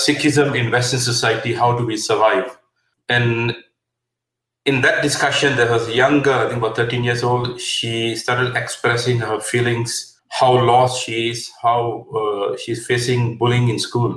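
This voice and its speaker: A man speaks at a medium pitch. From Malaysia. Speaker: helpline founder. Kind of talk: interview.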